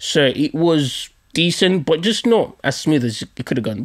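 A man with a London accent at a fairly high pitch, with very wide pitch swings over a quiet background. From Nigerian heritage, London. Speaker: podcast host. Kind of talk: storytelling monologue. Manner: animated. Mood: humorous, joking. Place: home room. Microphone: studio mic.

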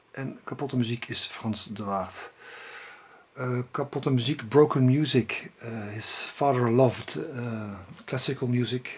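Speaking at a fairly slow pace, a man with a Dutch accent keeps a medium pitch. His intonation is fairly even. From Netherlands. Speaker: music collector and video blogger. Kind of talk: casual video monologue about music purchases. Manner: halting. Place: home room. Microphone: phone near.

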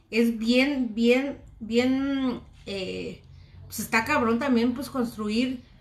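A woman speaks at a very slow pace and high pitch, with fairly even intonation and big swings in loudness. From Mexico. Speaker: cooking vlogger. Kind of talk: live stream cooking chat. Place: kitchen. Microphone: phone near.

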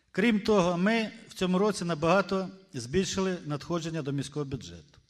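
His intonation is lively and his pitch high for a man. He talks at a fairly quick pace.

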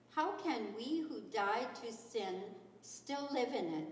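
A woman speaks at a very slow pace, with light background noise and audible room echo. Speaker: scripture reader. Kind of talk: scripture reading. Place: church. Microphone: podium.

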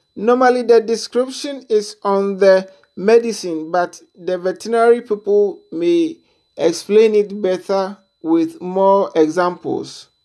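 A woman talks at a fairly slow pace with ordinary pitch variation against a quiet background. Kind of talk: tutorial. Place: farm machine.

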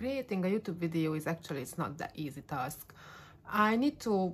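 The speaker is a woman. She talks with a non-native accent. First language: not English. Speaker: YouTuber. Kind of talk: casual vlog monologue. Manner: halting, stumbling over words. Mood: warm, friendly. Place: home room. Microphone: phone near.

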